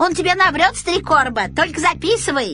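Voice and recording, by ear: A woman uses a put-on character voice, extremely high and bright, sharp in tone. She talks at a fairly quick pace with lively intonation over faint background music.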